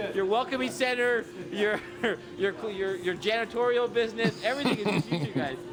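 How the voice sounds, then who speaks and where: An energetic, animated man with a high pitch and lively intonation, at a fairly quick pace and very even loudness, over noticeable background noise. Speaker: TV morning show field reporter. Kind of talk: live TV field report. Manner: fast, energetic.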